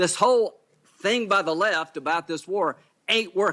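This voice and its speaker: Delivered with an American accent, the voice is raised and projected, bright and sharp in tone, at a fairly quick pace with ordinary pitch variation. The recording is very clean with a silent background and a dry, close sound with no echo. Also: man. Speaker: senator. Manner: yelling, shouting.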